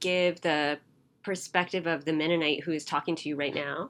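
Against a quiet background, a woman with an American accent speaks at a fairly quick pace in a bright, sharp tone. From US. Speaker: author. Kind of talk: interview conversation. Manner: thoughtful, hesitant with fillers.

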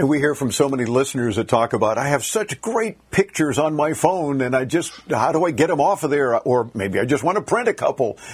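A man with an unremarkable speaking voice talks at a fairly high pitch and fairly quick pace, with very even loudness and hardly any pauses. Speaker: radio host. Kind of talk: live radio tech talk show. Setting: studio.

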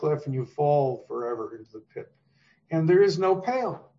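Here a man talks with a fairly high pitch. His voice is somewhat breathy. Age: 70s. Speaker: author. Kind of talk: interview conversation.

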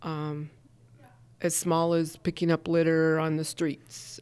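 In a very clean recording with a silent background, a woman with an American accent speaks very slowly at a very deep, low pitch with monotone, flat intonation. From Montana, US. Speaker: small business owner and chamber of commerce director. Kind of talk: interview.

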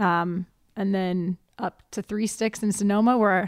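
A woman's medium-pitched, ordinary speaking voice with fairly even intonation, on a very clean recording with a silent background. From Ohio. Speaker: winery hospitality manager. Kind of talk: casual chat.

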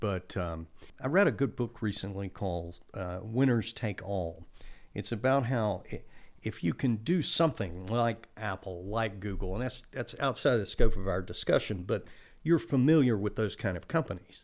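In a plain, everyday voice with an American accent, the speaker talks at a moderate pace with lively intonation. The recording is very clean, with a silent background. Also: man, fairly low pitch for a man. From Texas coast. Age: 60s. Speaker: accountant and business consultant. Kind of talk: casual interview.

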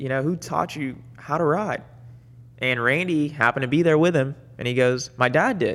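At a moderate pace, a man uses a normal speaking voice with a fairly high pitch and ordinary pitch variation. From Dominican Republic and Puerto Rico, then Florida from age 6-7. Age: 30s. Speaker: motocross racer. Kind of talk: casual chat. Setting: studio.

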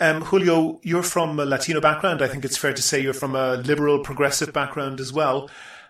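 Noticeable background noise accompanies a man whose voice is fairly high. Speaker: podcast host. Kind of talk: interview questions.

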